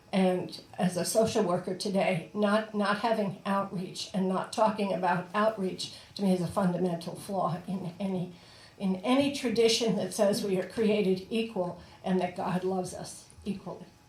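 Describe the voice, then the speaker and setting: A woman's medium-pitched voice at a moderate pace, with fairly even intonation, noticeable background noise and audible room echo. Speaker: ordained priest and social worker. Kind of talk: sermon.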